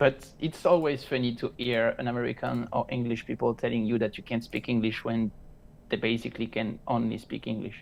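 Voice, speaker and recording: Speaking fairly quickly with a French accent, a man holds a medium pitch in a monotone, flat delivery. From France. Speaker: crypto trader. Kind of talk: casual chat.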